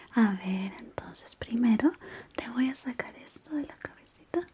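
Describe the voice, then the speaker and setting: A woman whispers. She is soft-spoken. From Chile. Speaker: ASMR creator. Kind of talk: ASMR personal attention roleplay. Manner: whispered, soft-spoken.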